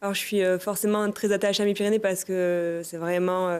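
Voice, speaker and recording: The woman's medium pitch stays in a monotone, flat intonation. She moves at a fairly quick pace. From Pyrenees, France. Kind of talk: conversational interview.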